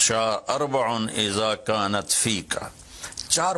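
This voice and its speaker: Lively intonation marks this man's speech at a medium pitch. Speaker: Islamic preacher. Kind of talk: religious sermon. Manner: passionate, emotional.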